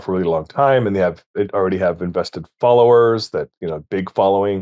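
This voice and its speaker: The recording is very clean, with a silent background and a dry, close sound with no echo. Speech moves at a fairly quick pace with ordinary pitch variation. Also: man. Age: 60s. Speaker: game designer, creator of a tabletop setting. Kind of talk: interview. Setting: podcast. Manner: halting, many fillers and restarts.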